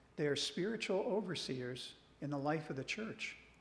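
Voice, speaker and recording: Somewhat breathy and full of lively intonation, a man's voice comes through with audible room echo. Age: 60s. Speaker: regional church minister. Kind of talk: church presentation.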